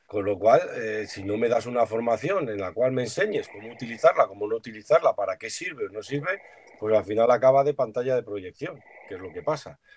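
A man talks at a fairly quick pace with lively intonation and big swings in loudness over noticeable background noise. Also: medium pitch for a man, dry, close sound with no echo. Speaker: secondary school teacher. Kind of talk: roundtable discussion.

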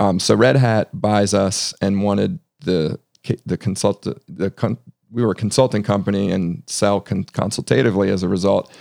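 At a moderate pace, a man with an American accent and a fairly low pitch speaks in a normal speaking voice with ordinary pitch variation. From US, Northern Virginia. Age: 40s. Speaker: tech entrepreneur and CEO. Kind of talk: interview. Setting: studio.

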